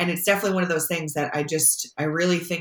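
A woman speaks in a flat, monotone way with an Upstate New York accent. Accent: Upstate New York American. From upstate New York, Syracuse. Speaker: sport management professor. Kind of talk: interview.

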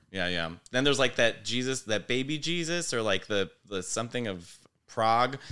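Speaking with a Chicago-area accent, a man has a bright, sharp tone, medium pitch, a moderate pace and lively intonation. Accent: Chicago-area American English. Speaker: comedian. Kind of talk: casual chat. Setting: studio. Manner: animated.

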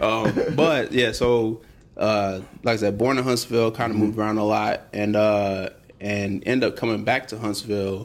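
A man with an American accent talks at a moderate pace in a fairly low pitch with fairly even intonation, a plain, everyday voice. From Alabama, US South. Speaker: architect and music producer. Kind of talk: casual chat.

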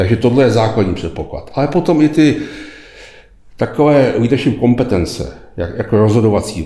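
With audible room echo around him, a man talks at a moderate pace in a medium pitch with lively intonation. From Czech Republic. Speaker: retired executive, leadership lecturer. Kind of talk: interview.

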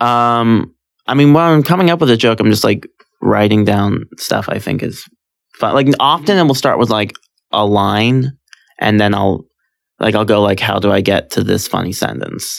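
An ordinary speaking voice from a man with an American accent, medium in pitch, with lively intonation at a moderate pace. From California. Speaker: stand-up comedian. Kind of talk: casual chat.

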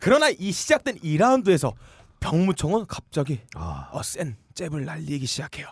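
A man speaks at a moderate pace, his loudness swinging widely. The background is quiet. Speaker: podcast co-host. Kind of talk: comedic casual chat.

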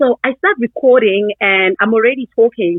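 A woman speaks with a Zulu accent. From South Africa, Durban, KwaZulu-Natal. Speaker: parent and social media user. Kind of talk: interview.

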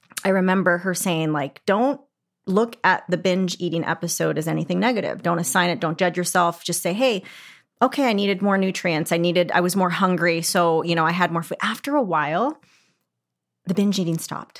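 In a plain, everyday voice with a General American accent, a woman speaks fairly quickly at a fairly low pitch with ordinary pitch variation, in a very clean recording with a silent background. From Arizona. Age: 40s. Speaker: fitness and business mentor. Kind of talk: casual interview chat.

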